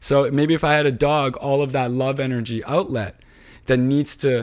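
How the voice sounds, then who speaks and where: A man speaks in a plain, everyday voice at a fairly high pitch. His pace is moderate, and the recording is very clean with a silent background. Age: 30s. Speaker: tech entrepreneur. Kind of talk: casual chat.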